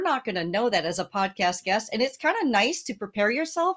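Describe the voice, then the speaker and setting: A woman's high voice with very wide pitch swings on a very clean recording with a silent background. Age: 60s. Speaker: founder of a speaker booking agency. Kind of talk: podcast interview.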